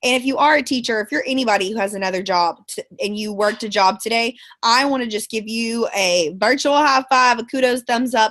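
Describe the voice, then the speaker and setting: Over a quiet background, a woman talks fairly fast in a Texan accent. Her pitch is fairly high, with ordinary variation. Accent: Texan Southern US. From Central Texas, Bryan/College Station. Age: 20s. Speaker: network marketing distributor, former teacher. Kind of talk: motivational team call talk. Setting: conference call from bed. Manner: animated.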